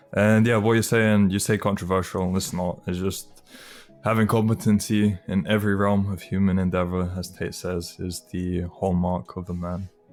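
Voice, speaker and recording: Music plays in the background as a man speaks at a moderate pace. His very deep, low pitch stays monotone and flat. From UK, moved from Lithuania at age five. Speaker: podcast interviewer. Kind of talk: interview.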